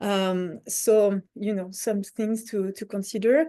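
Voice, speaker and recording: A woman with a French accent speaks in a fairly high pitch, her tone dark and mellow, against a quiet background. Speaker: conference organizer. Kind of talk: online info session presentation. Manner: halting, many fillers.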